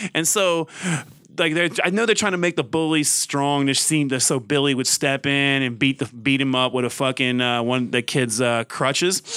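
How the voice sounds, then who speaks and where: In a very clean recording with a silent background, a man with an American accent speaks at a moderate pace with a fairly high pitch, a bright, sharp tone, ordinary pitch variation, and very even loudness. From US South, Mississippi. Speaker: magazine writer. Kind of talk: casual chat.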